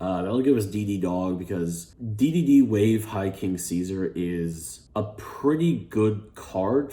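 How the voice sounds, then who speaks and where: This man has an American accent, a fairly low pitch and a dark, mellow tone. His intonation is lively, and audible room echo surrounds his voice. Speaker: gaming YouTuber. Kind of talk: casual vlog talk. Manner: hesitant, many fillers.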